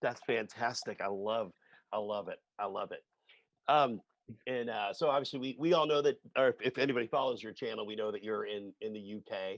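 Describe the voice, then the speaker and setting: An unremarkable speaking voice from a man at medium pitch, with ordinary pitch variation, a fairly quick pace and big swings in loudness, in a dry, close sound with no echo against a quiet background. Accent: American. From United States. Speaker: drumming channel host. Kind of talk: casual interview chat.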